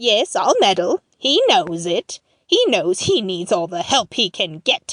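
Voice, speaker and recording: A woman's put-on character voice at a medium pitch, with a dry, close sound and no echo. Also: fairly slow pace. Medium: audio drama. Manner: scheming, emphatic.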